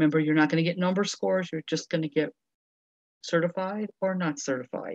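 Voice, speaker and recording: A woman's ordinary speaking voice, fairly low in pitch, with ordinary pitch variation and a dry, close sound free of echo. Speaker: webinar presenter for teachers. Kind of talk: webinar presentation.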